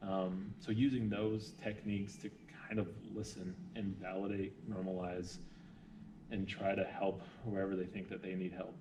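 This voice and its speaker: Long, frequent pauses from a man at a moderate pace, fairly low in pitch with fairly even intonation, amid noticeable background noise and audible room echo. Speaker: hospital social worker. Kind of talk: interview.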